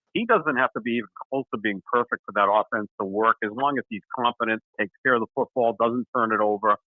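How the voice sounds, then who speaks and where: A man speaks at a fairly quick pace in an unremarkable speaking voice, his pitch medium and his intonation fairly even. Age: 60s. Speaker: sports radio co-host. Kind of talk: casual sports talk show.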